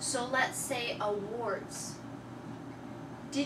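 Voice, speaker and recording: Very slow female speech with fairly even intonation, audible room echo and noticeable background noise. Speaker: English teacher. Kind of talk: classroom lesson. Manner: loud.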